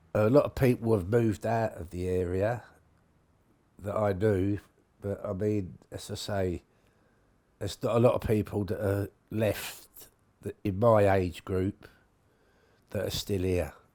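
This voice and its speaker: On a very clean recording with a silent background, a man speaks in a fairly low voice with a dark, mellow tone. His intonation is fairly even, with long, frequent pauses. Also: fairly slow pace. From London, Somers Town. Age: 70s. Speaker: longtime local resident. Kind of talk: interview testimony. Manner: halting, with hesitations.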